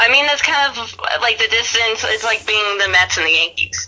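A woman's medium-pitched voice with an American accent and lively intonation, against noticeable background noise. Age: 30s. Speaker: podcast guest and Yankees fan. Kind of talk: casual chat. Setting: phone or video call.

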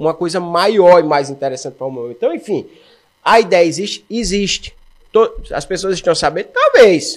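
Using ordinary pitch variation, a man talks at a moderate pace in a high voice. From Brazil, Alagoas (Maceió). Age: 40s. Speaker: running shoe store owner and runner. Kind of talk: casual interview chat.

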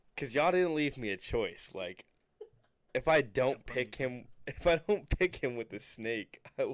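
This man's voice sits at a fairly high pitch. Vocal fry runs through it. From Connecticut. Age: 20s. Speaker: college athlete and podcast co-host. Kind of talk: casual chat.

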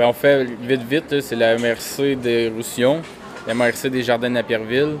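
Over noticeable background noise, a man speaks fairly slowly at a medium pitch in a flat monotone. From Quebec, Varennes near Montreal. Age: young. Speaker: horse breeder. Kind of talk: casual interview. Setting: barn at a horse show. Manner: loud.

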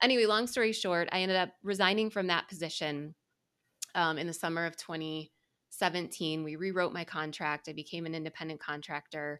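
Fairly quick speech comes from a woman with a bright, sharp tone. Her pitch varies in an ordinary way. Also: fairly low pitch for a woman, very clean recording, silent background. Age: 40s. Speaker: insurance executive and podcaster. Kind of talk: casual interview conversation.

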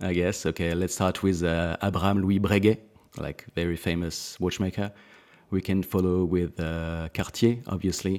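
A man with a French accent speaks in a very deep, low voice at a moderate pace. His intonation is monotone and flat, on a very clean recording with a silent background. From France, Alsace. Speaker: watch brand founder and designer. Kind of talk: casual interview.

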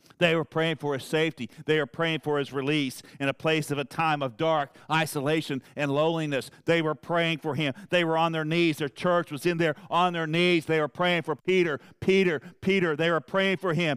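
With a Southern US accent, a man speaks at a moderate pace and fairly high pitch, with fairly even intonation and hardly any pauses, on a very clean recording with a silent background and a dry, close sound with no echo. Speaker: preacher. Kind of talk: sermon. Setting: church. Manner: fervent, emphatic, pulpit-style delivery with repetition; informal, conversational, addressing congregation by name.

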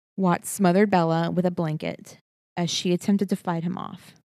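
Delivered at a moderate pace in a Texan accent, the voice stays monotone and flat. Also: woman. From Texas. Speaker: podcast co-host. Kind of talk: casual comedy and true crime podcast chat. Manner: giddy, slap happy.

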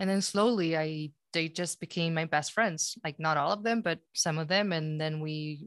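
Recorded dry and close with no echo, a woman with an unremarkable speaking voice and a fairly low pitch talks at a moderate pace. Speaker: podcast host. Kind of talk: casual conversation, podcast.

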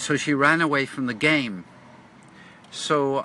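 A very slow delivery in a Cork accent, with noticeable background noise. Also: man. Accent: Cork Irish. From Ireland, Cork. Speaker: poet and storyteller podcaster. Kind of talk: casual monologue. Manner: halting.

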